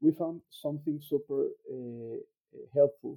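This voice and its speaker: The voice has a Mexican accent and a fairly slow pace. The sound is dry and close with no echo. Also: man. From Mexico. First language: Spanish. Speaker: actuarial scientist, youth summit delegate. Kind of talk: casual chat. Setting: video call. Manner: halting.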